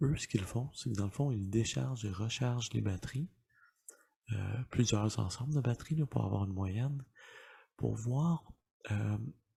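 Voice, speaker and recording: A soft-spoken man whispering at a fairly slow pace, somewhat breathy, with long, frequent pauses. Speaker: dad-advice YouTuber, ASMR-style. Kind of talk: casual explanatory talk to camera. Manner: soft-spoken, whispered.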